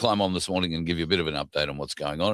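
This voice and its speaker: A man with an Australian accent speaks at a very deep, low pitch, with a dry, close sound and no echo. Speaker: political commentary show host. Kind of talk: casual monologue. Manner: hesitant, many fillers.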